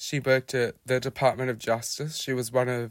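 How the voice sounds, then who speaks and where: A man's voice comes through dry and close with no echo. The recording is very clean, with a silent background. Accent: Australian. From Australia, Melbourne (Hampton). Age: 20s. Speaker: podcast guest sharing life story. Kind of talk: personal testimony.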